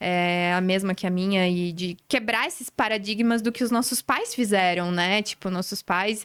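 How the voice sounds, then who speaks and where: A woman with an unremarkable speaking voice talks at a moderate pace with hardly any pauses, her medium pitch holding a fairly even intonation. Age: 30s. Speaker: podcast host. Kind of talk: casual chat.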